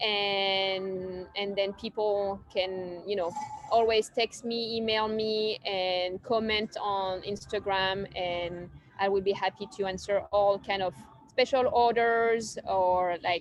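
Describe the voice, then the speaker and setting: Over music in the background, a woman with a French accent speaks very slowly at medium pitch in a monotone, flat intonation. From southern France. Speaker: cafe owner. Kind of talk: casual interview. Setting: outdoors on a park bench.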